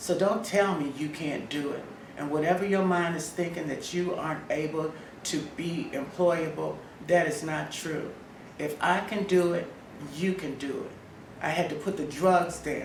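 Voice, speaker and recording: A woman with an American accent, at a moderate pace and with fairly even intonation, amid noticeable background noise and audible room echo. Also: fairly low pitch for a woman. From Washington, D.C., US. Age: 60s. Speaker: speaker at job readiness workshop. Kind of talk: motivational testimony.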